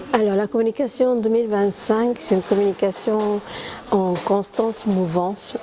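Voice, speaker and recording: With an Argentine accent, a woman talks at a fairly slow pace and ordinary pitch variation against noticeable background noise. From Argentina. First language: Spanish (speaking French). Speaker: communications professional. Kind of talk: interview. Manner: hesitant, many fillers.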